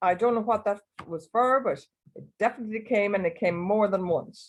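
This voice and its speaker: In an Irish accent, a woman talks at a fairly slow pace with a medium pitch. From Ireland. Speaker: club member. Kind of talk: impromptu speech.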